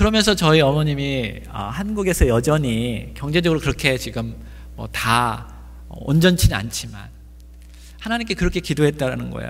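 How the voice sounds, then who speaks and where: In a room with audible echo, a man speaks at a moderate pace with big swings in loudness. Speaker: pastor. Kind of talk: sermon.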